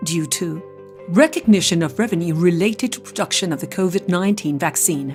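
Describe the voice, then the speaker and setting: Music plays behind a woman with a British accent. Her pace is fairly quick. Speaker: voice-over artist. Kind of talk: corporate narration.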